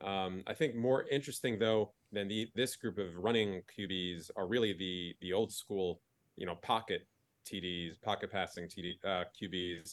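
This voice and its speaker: With an American accent, a man speaks in a normal speaking voice, fairly low in pitch, at a moderate pace with ordinary pitch variation. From New Jersey. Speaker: sports fan guest. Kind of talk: casual chat.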